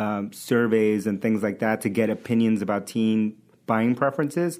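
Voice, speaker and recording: An ordinary speaking voice: a man with an American accent, medium pitch, and a moderate pace. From New York City (Queens). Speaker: tech startup founder and CEO. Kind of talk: casual interview. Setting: studio.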